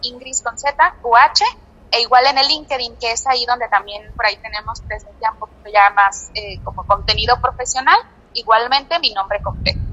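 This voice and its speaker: Noticeable background noise runs under this recording. A woman with a high pitch speaks in a Mexican accent. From Mexico. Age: 20s. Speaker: engineer and entrepreneur. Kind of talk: interview. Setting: phone call. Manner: hesitant, many fillers. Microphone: telephone line.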